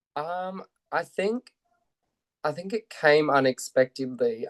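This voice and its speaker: The speaker has an Australian accent and ordinary pitch variation. The sound is dry and close, with no echo. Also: man. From Australia, Central Coast New South Wales. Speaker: actor. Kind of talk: interview chat.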